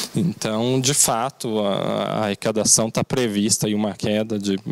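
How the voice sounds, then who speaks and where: A man talks in a normal speaking voice at a medium pitch with ordinary pitch variation. The sound is dry and close, with no echo. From Brazil, Mogi das Cruzes (São Paulo state). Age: 30s. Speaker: mayoral candidate, lawyer. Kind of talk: political interview.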